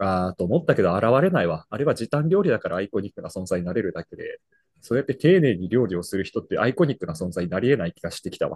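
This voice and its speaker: A man speaks at a very fast pace in a medium pitch, his loudness swinging widely. His pitch leaps up and down a great deal, and the sound is dry and close with no echo. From Brazil. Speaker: podcast co-host, office worker. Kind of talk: casual chat.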